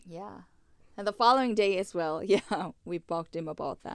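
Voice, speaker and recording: A non-native accent colors this voice. The speaker is a woman. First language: not English. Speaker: business owner's wife. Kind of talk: casual chat.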